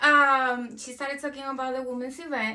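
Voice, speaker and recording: A woman with a high pitch and a non-native accent talks at a moderate pace. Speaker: cancer survivor. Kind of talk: testimony interview.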